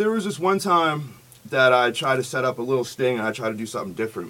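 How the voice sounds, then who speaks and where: A man's voice over noticeable background noise. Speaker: online predator-catcher vlogger. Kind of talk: casual chat. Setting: studio.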